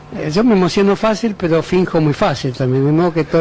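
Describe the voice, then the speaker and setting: A man speaks at a very fast pace with ordinary pitch variation. Noticeable background noise is present. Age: 60s. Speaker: intellectual, interview guest. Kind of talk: radio interview. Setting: radio studio. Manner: halting, hesitant with fillers.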